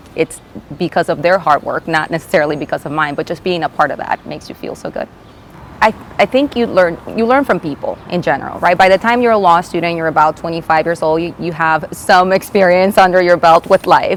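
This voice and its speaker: Over noticeable background noise, the words come at a fairly quick pace. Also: woman, ordinary pitch variation. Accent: Spanish. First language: Spanish. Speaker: attorney, bar association president. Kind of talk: interview. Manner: hesitant, many fillers.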